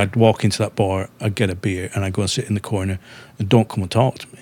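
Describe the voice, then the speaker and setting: A man with a Lancashire accent, fairly low pitch and fairly even intonation. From northwest England, Darwen near Manchester. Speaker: musician and songwriter. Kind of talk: podcast interview.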